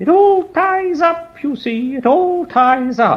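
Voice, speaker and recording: A man performs a put-on character voice at an extremely high pitch. He speaks at a fairly slow pace. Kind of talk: British schoolmaster.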